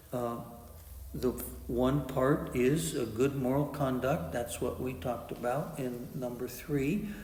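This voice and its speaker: A man at a medium pitch and a fairly slow pace, ordinary pitch variation, with audible room echo and noticeable background noise. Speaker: meditation teacher. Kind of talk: dharma talk. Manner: halting with many uh fillers.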